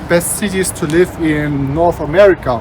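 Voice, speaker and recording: Noticeable background noise sits behind a speaker with a non-native accent. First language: not English. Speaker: travel vlogger. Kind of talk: walking vlog narration. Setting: outdoors, walking in city.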